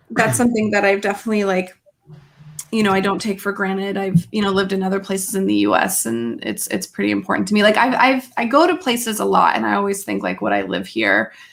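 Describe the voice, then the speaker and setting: With noticeable background noise behind her, a woman races along at a very fast pace. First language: French. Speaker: live stream panel guest. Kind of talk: casual chat. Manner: hesitant, many fillers.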